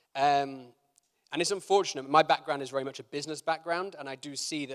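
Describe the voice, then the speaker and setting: With a British accent, a man talks at a fairly quick pace and ordinary pitch variation. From Britain. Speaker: keynote speaker, food entrepreneur. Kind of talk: conference keynote. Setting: conference stage with live audience. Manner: hesitant, many fillers.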